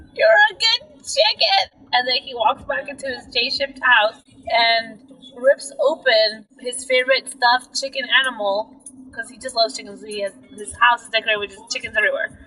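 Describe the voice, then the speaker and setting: Over noticeable background noise, a woman speaks at a high pitch and a moderate pace, with big swings in loudness. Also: ordinary pitch variation. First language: not English. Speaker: road trip storytelling game player. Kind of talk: casual improvised storytelling game. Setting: in a car on a road trip.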